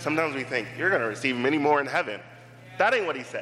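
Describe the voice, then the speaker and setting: With an American accent and an animated tone, a man talks with ordinary pitch variation over noticeable background noise. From Pittsburgh area, US (McKeesport). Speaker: campus minister and missionary, guest preacher. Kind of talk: sermon. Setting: church with congregation.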